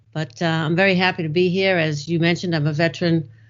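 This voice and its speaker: Very fast in pace, a woman speaks at a fairly low pitch with ordinary pitch variation. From Boston, Massachusetts. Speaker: IT project manager and author. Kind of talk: podcast interview.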